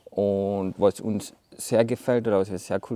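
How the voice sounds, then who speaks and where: With vocal fry and a dark, mellow tone, a man speaks at a fairly low pitch with fairly even intonation. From Carinthia, Austria. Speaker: architect. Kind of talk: casual interview chat. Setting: outdoors in front of a hall. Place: hall.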